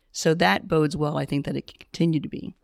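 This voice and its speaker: A woman with a plain, everyday voice and an American accent, fairly quick in pace with ordinary pitch variation, on a very clean recording with a silent background and a dry, close sound with no echo. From US South. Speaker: retired teacher and nonprofit founder. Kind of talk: interview.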